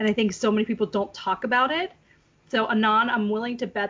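Fairly even intonation and a fairly quick pace in an unremarkable speaking voice. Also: woman. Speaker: podcast host. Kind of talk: casual chat.

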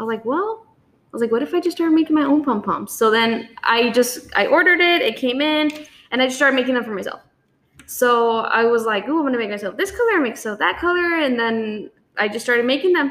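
Speaking very fast at a high pitch, a woman with a South Texas accent uses lively intonation. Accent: South Texas Mexican-American English. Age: 20s. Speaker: small business owner. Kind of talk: casual chat.

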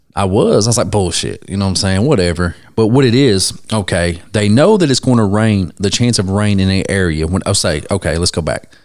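In a normal speaking voice, a man talks at a fairly quick pace with hardly any pauses, a fairly low pitch and ordinary pitch variation. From Ohio. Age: 30s. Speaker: podcast host, tattoo artist. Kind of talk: casual chat.

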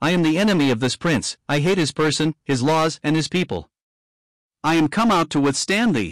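A man uses a hissing put-on character voice at a fairly high pitch and a moderate pace. The recording is very clean, with a silent background. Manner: hissing, menacing, furious.

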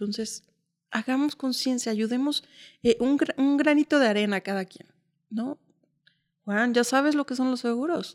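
Long, frequent pauses mark this woman's high-pitched speech, which has ordinary pitch variation and a dry, close sound with no echo. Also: moderate pace, very clean recording, silent background. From Mexico City. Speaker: insurance sales entrepreneur. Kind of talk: interview.

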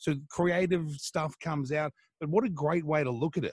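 In a dry, close sound with no echo, a man with an Australian accent speaks at a fairly high pitch in a somewhat breathy voice. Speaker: radio host. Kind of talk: casual interview.

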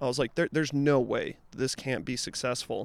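With a normal speaking voice, a man talks at a medium pitch and uses ordinary pitch variation. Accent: American. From Utah. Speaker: music event promoter. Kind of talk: casual interview chat.

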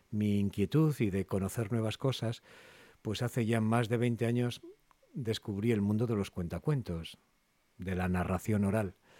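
A man's fairly low voice with a dark, mellow tone, ordinary pitch variation and a fairly slow pace, in a very clean, dry, close recording with a silent background and no echo. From Cantabria, Spain (Castro Urdiales). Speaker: voice actor. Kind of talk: interview.

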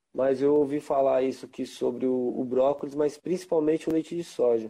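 Against a quiet background, a man's dark, mellow tone carries ordinary pitch variation. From São Paulo, Brazil. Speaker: reggae musician and Rastafari practitioner. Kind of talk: casual interview. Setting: Instagram live.

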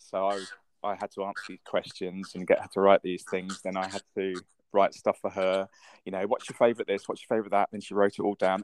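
With a British accent, a man speaks at a fairly low pitch and fairly quick pace in a flat monotone, his loudness swinging widely, on a very clean, dry, close recording with a silent background and no echo. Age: 50s. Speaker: podcast host. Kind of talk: casual chat.

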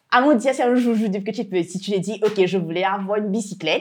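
A woman with an unremarkable speaking voice talks at a fairly high pitch. Her intonation is lively. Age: 20s. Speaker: entrepreneur. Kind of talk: interview. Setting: workshop.

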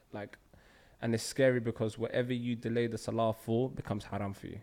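In a London accent, a man with a medium-pitched voice speaks fairly quickly in a flat monotone. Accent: London multicultural English. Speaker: podcast host. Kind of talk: casual chat.

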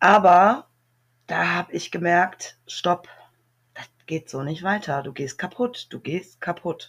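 With a fairly low pitch and a somewhat breathy voice, a woman speaks at a very slow pace, with long, frequent pauses, big swings in loudness and ordinary pitch variation. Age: 40s. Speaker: recovering alcoholic, single mother of four. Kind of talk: personal testimony interview.

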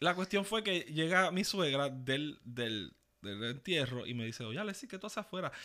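Speaking in a Puerto Rican accent, a man uses a fairly high pitch with very wide pitch swings and a bright, sharp tone at a moderate pace. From Puerto Rico, east (Ceiba). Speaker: podcast co-host. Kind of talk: casual chat.

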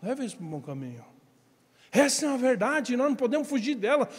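With a Brazilian accent, a man speaks at an extremely high pitch with very wide pitch swings, amid noticeable background noise and audible room echo. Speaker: pastor. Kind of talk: sermon.

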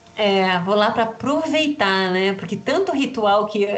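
The woman's pitch sits in the medium range. Audible room echo and noticeable background noise fill the recording. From Rio Grande do Sul, Brazil. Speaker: astrologer and magic teacher. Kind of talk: interview.

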